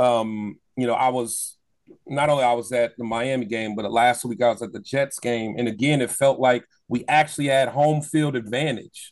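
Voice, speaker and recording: A man at a medium pitch and moderate pace, with fairly even intonation. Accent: American. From Ohio, US Midwest (Columbus). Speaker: football podcaster. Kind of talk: casual chat.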